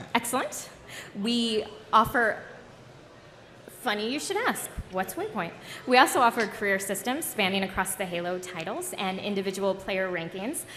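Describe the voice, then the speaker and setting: A moderate pace with long, frequent pauses and ordinary pitch variation, plus audible room echo and noticeable background noise. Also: woman, medium pitch for a woman. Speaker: panel moderator. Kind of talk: convention panel presentation. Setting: stage with audience. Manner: joking, casual.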